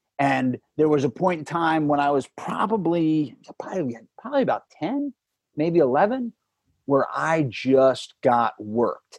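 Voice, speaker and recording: This man has a plain, everyday voice pitched fairly high, moving at a moderate pace with lively intonation in a dry, close sound with no echo. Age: 40s. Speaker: podcast guest sharing recovery story. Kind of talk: personal testimony in interview.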